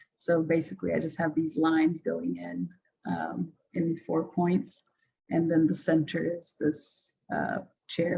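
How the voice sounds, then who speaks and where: Faint music plays behind a woman who talks at a fairly slow pace. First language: not English. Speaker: designer presenting their work. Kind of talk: presentation. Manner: hesitant, many fillers. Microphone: video call.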